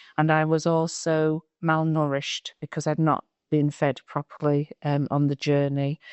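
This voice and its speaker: In a very deep, low pitch, a woman speaks with monotone, flat intonation and very even loudness. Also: fairly slow pace. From Eritrea. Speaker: refugee sharing lived experience. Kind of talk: testimony. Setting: public board meeting. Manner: halting.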